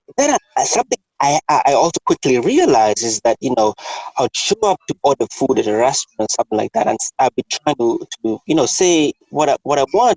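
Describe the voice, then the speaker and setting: A man's fairly high, fairly quick voice with a Kenyan accent and very wide pitch swings, in a dry, close sound with no echo. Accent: Kenyan, Americans struggle to understand. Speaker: podcast host. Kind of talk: casual chat.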